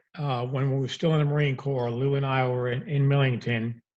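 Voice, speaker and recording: With a New York accent, the speaker goes at a moderate pace, sounding somewhat breathy with fairly even intonation. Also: man. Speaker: repossession business founder. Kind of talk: interview storytelling.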